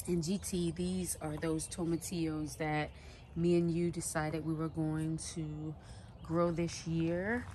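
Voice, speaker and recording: In a room with audible echo, a woman speaks quietly at a fairly slow pace, her fairly low voice monotone with flat intonation. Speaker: home gardening vlogger. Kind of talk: casual garden tour vlog. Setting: outdoors in backyard garden. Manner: quiet, low voice.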